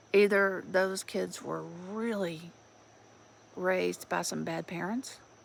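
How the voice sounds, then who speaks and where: A woman speaks with an Alabama accent. Her pace is very slow. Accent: Southern US (Alabama). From US South, rural Alabama. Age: 60s. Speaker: vlogger, retired police officer and Navy veteran. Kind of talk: casual monologue vlog.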